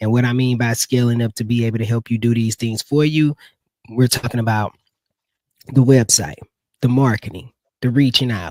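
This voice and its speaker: Dry and close with no echo, a man speaks fairly quickly in an ordinary speaking voice, his medium pitch fairly even in intonation. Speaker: live stream host for marketing agency. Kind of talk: live stream product demo. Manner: casual, filler-heavy.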